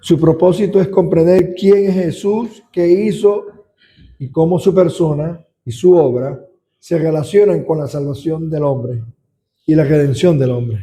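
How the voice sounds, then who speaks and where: A man speaks at a fairly slow pace, his fairly high voice carrying a dark, mellow tone and ordinary pitch variation. Room echo can be heard. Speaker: deacon teaching a Bible study. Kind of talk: Bible study lecture.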